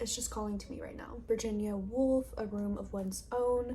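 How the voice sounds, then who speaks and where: Over music in the background, a woman talks. Her pace is moderate. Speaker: book vlogger. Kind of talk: casual video diary talk. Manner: relaxed, conversational.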